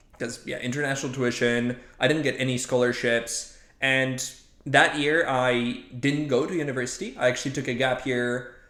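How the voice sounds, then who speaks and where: Audible room echo surrounds a man speaking at a medium pitch and a moderate pace in a monotone, flat way. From Poland. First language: Polish. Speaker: machine learning scientist. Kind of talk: casual interview. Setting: podcast recording.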